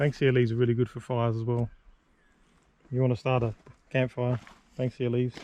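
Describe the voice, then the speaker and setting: A man with an Australian accent speaks very fast at a medium pitch, his tone dark and mellow and his intonation flat and monotone. Long pauses come often. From Sydney, Australia. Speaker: vlogger. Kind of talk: casual chat while hiking. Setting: outdoors on a bush walk.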